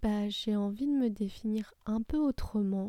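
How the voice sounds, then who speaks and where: The woman's voice is fairly high with a dark, mellow tone and ordinary pitch variation. She speaks at a fairly slow pace, and the sound is dry and close with no echo. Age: 30s. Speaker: podcast host, personal development coach. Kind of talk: solo self-introduction monologue.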